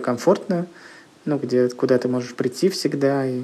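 Delivered at a moderate pace, a normal speaking voice moves with ordinary pitch variation. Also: man. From Russia, Leningrad Oblast (Kirishi). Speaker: comics publisher. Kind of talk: interview.

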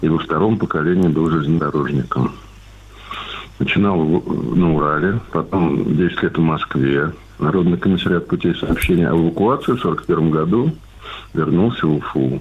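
Against noticeable background noise, a man speaks in a very deep, low pitch with ordinary pitch variation and long, frequent pauses. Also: moderate pace, very even loudness. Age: 60s. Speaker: retired grandfather, caller. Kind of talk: phone-in anecdote. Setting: phone call.

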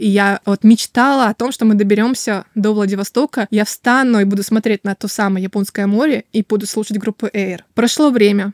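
An ordinary speaking voice from a woman, fairly high in pitch, with fairly even intonation and a fairly quick pace, dry and close with no echo, on a very clean recording with a silent background. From Russia, Kaliningrad. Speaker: artist and illustrator. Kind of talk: casual interview.

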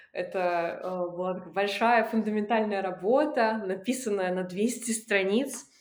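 The woman's pitch is fairly high, with ordinary variation. She speaks very slowly, and the room echo is audible. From Russian Far East. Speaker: film festival curator and documentary director. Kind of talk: casual interview.

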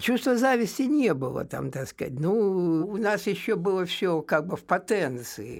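Very wide pitch swings at a fairly slow pace, with hardly any pauses. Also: man, high pitch for a man. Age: old. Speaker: poet. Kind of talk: interview. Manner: hesitant, with many fillers.

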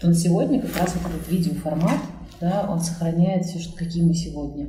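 Audible room echo surrounds a woman whose pitch sits fairly low. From Kazan, Russia (Tatarstan). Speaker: event organizer. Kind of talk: interview conversation.

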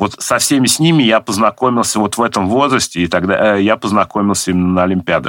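A man at a fairly quick pace. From Nizhny Novgorod, Russia. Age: 40s. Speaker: government IT adviser. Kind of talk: interview. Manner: hesitant with filler sounds.

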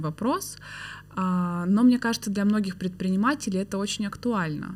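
Somewhat breathy, a woman's voice moves at a moderate pace. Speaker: podcast host. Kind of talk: casual interview conversation.

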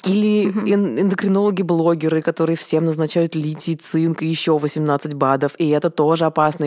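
A woman with an ordinary speaking voice, a fairly low pitch, very even loudness and a fairly quick pace. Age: 30s. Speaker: event producer. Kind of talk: casual chat.

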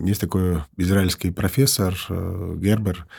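With a very deep, low pitch and fairly even intonation, a man speaks at a moderate pace in a very clean recording with a silent background. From Ukraine, Kyiv; Georgian family. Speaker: business consultant, entrepreneur. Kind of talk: interview conversation.

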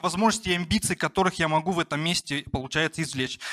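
A man's raised, projected voice, bright and sharp in tone, very fast with lively intonation, in a dry, close sound with no echo on a very clean recording with a silent background. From rural Russia. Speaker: entrepreneur, barbershop founder. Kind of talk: personal storytelling talk. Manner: casual, many fillers.

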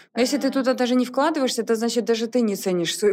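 A very fast delivery, captured on a very clean recording against a silent background. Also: woman. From Belarus, Soligorsk. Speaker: clothing brand founder. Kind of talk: casual interview chat.

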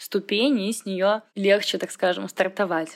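Over a silent background in a very clean recording, a woman speaks at a fairly slow pace with medium pitch and monotone, flat intonation. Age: 20s. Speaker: fitness trainer and dance practitioner. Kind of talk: recorded testimony.

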